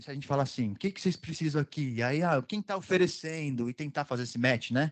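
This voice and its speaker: A man's fairly high voice with ordinary pitch variation, dry and close with no echo. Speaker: panel speaker on volunteering. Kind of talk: conference talk. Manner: fast.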